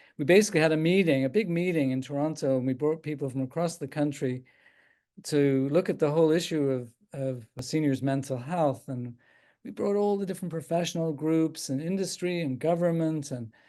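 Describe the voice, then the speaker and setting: Against a quiet background, a man with a slight Irish accent speaks at a fairly quick pace. His tone is dark and mellow, with fairly high pitch and ordinary variation. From Ireland, Dublin. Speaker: geriatric psychiatrist. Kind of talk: talk answering questions. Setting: video call.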